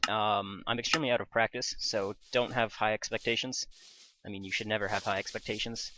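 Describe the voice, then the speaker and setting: The tone is bright and sharp, with fairly even intonation at a fairly quick pace. The recording is very clean, with a silent background. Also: man. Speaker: gaming YouTuber. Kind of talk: gameplay commentary. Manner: casual, hesitant with fillers.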